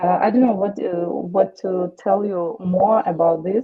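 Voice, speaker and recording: A woman speaks in a Ukrainian accent at a fairly slow pace. Her voice is fairly low-pitched with ordinary pitch variation. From Ukraine. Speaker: war widow. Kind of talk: testimony. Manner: halting.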